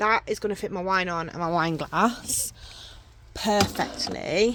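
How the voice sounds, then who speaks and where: A woman with an English accent speaks at a very slow pace. The recording is very clean, with a silent background. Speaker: vlogger. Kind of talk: casual vlog. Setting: outdoors.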